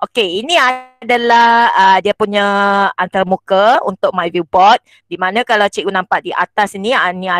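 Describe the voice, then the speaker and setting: A woman talks at a medium pitch and a moderate pace, with ordinary pitch variation. The background is quiet and the sound is dry with no echo. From Malaysia, Perak (Setiawan); Perak, Malaysia. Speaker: schoolteacher and workshop presenter; workshop trainer. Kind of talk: online teaching workshop tutorial. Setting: video call. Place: home room. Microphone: handheld.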